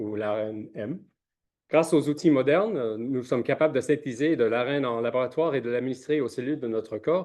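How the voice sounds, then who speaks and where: A man speaks at medium pitch in a dark, mellow tone. His pitch varies in an ordinary way against a quiet background. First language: not French (speaking French). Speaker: scientist, researcher. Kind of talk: conference presentation. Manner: halting, many hesitations.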